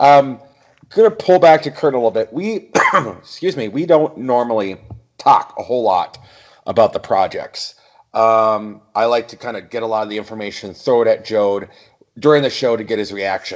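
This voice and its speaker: A man with an American accent talks in an ordinary speaking voice at medium pitch and a moderate pace. His intonation is lively, and his loudness swings widely. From US Midwest. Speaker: podcast co-host. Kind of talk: casual chat.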